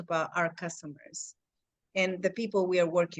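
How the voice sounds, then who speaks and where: At a moderate pace, a woman speaks at a medium pitch with a slight Mexican accent. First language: Spanish. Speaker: real estate agent. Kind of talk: casual chat. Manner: halting.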